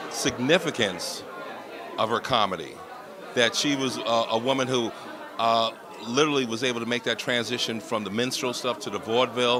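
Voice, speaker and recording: Crowd noise and audible room echo surround a man with an American accent speaking at a medium pitch and a moderate pace. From New York, the Bronx. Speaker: community development executive. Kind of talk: interview. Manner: casual.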